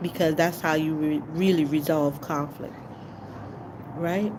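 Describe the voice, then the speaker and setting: Very deep, low female speech, with noticeable background noise and audible room echo. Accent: Jamaican. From Jamaica. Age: 40s. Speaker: livestreamer. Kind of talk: livestream talk. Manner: sounds angry to some; casual, halting.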